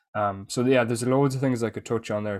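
A man with an Irish accent and monotone, flat intonation, on a very clean recording with a silent background. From Ireland. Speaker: fitness coach. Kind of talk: casual chat.

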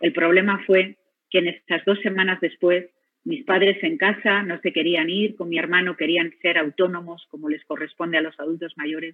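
A woman with a Spanish accent speaks at a moderate pace in a fairly low pitch with fairly even intonation. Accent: Spanish (Spain). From Spain. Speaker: physician, radiotherapy head. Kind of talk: personal testimony talk.

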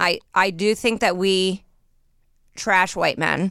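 A woman's bright, sharp voice at medium pitch, with vocal fry and an American accent. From Indiana, US Midwest. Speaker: comedian. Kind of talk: casual chat.

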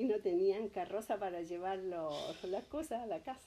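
A woman with a dark, mellow tone speaks at a fairly slow pace and medium pitch, her intonation lively. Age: 70s. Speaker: grandmother interviewed by grandson. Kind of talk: oral history interview.

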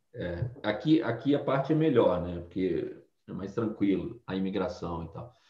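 Somewhat breathy, a man talks at a medium pitch and a fairly slow pace. His intonation is lively and his loudness swings widely. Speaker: former bank treasurer and quant trading instructor. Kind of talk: casual interview.

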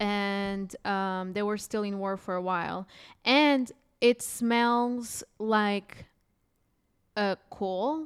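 A woman at medium pitch, very slow with long, frequent pauses and ordinary pitch variation, on a very clean recording with a silent background. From Portugal. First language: Portuguese. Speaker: stand-up comedian. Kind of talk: casual chat. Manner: animated.

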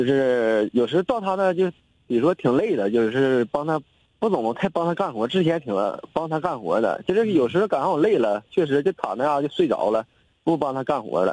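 Speaking at a fairly quick pace, a man with a fairly high pitch swings very widely in pitch, heard in a dry, close sound with no echo. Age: 20s. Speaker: caller seeking relationship advice. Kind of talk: call-in conversation.

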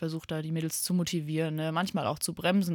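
A woman talks in a monotone, flat intonation on a very clean recording with a silent background. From Germany, Limburg (Hesse). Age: 20s. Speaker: hockey player and team captain. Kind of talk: radio interview.

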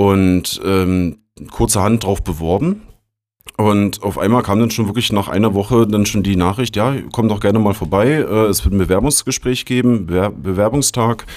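A man speaks at a moderate pace in a relaxed tone, his pitch fairly low with ordinary variation. His loudness stays very even, and the recording is very clean with a silent background. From Berlin. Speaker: technical support agent. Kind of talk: casual interview.

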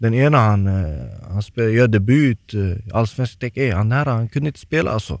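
A man with a normal speaking voice talks at a medium pitch and a moderate pace, with lively intonation. The sound is dry and close with no echo, on a very clean recording with a silent background. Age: 20s. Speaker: professional footballer. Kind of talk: casual chat. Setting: studio.

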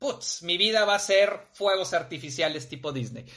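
A man's high, raised, projected voice with a bright, sharp tone and a Mexican accent. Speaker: live-stream talk host. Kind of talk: live-streamed personal development talk. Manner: casual, with frequent fillers.

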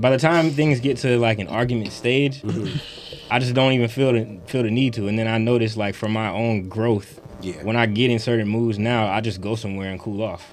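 A man talks at a fairly quick pace with a medium pitch and ordinary pitch variation. Noticeable background noise runs underneath. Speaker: podcast co-host. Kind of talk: casual panel chat.

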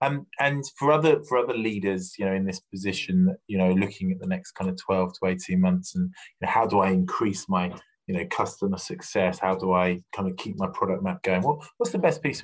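This voice carries an English accent. Nothing intrudes, as the recording is very clean and the background silent. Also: man. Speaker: podcast host, recruiter. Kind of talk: interview. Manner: halting.

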